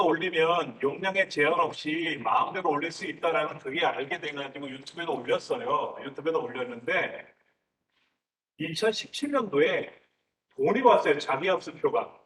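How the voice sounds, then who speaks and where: A man with a high voice speaks with very wide pitch swings and long, frequent pauses. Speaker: YouTube instructor and student in class. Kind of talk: casual chat.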